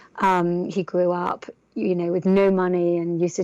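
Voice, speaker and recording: A woman with an English accent speaks in a dark, mellow tone. Her intonation is a flat monotone over a quiet background. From northern England. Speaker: entrepreneur. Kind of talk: interview. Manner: halting, many fillers.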